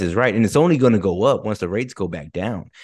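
A man with an American accent talks fairly quickly at a medium pitch, with vocal fry. His intonation is lively, and the background is quiet. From Texas. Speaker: real estate investor. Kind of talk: casual interview.

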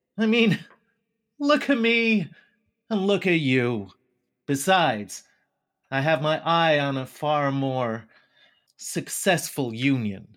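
A man's gravelly put-on character voice, fairly high-pitched with very wide pitch swings, at a fairly slow pace broken by long, frequent pauses, on a very clean recording with a silent background. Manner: dismissive, smug.

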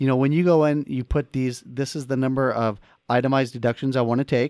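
An unremarkable speaking voice belonging to a man comes through with fairly even intonation in a very clean recording with a silent background. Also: dry, close sound with no echo. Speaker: podcast co-host, personal finance author. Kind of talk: casual chat.

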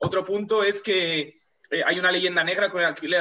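This man's voice is high-pitched. He talks at a fairly quick pace. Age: young. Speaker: rural development volunteer. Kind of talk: casual chat.

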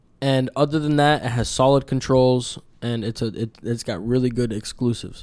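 This man has an ordinary speaking voice pitched at a medium level. He talks at a moderate pace with fairly even intonation. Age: 20s. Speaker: podcast host. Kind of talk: casual chat. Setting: home studio.

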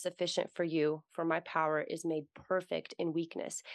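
A woman's unremarkable speaking voice, fairly low in pitch, at a moderate pace, with a dry, close sound, no echo and a quiet background. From US, Russian-born. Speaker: writer and podcaster. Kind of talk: casual faith conversation.

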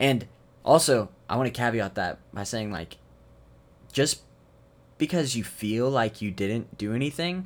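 On a very clean recording with a silent background, a man uses a plain, everyday voice at medium pitch, moving at a moderate pace with lively intonation. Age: 20s. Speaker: podcast host. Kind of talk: casual chat.

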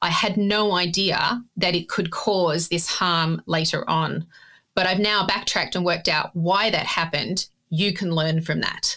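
Bright, sharp tone from a woman with an Australian accent, fairly low pitch, fairly even intonation and very even loudness. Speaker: data ethics expert. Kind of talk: casual interview conversation.

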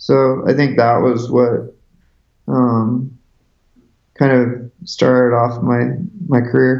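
In an American accent, a man with a medium pitch talks at a very slow pace with long, frequent pauses, very even loudness and a monotone, flat intonation. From US Pacific Northwest, Seattle. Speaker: visual artist. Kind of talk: casual interview. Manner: halting, many fillers.

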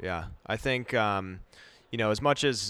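Using an unremarkable speaking voice, a man speaks with a fairly low pitch and ordinary pitch variation. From Wisconsin. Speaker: podcast host, brewer. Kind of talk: casual chat. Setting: brewery barrel cellar.

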